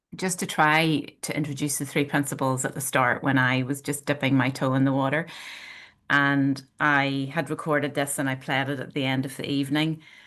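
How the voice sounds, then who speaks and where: A woman speaks at a moderate pace in a very deep, low voice with monotone, flat intonation over a quiet background. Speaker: author and bodywork practitioner. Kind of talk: casual chat.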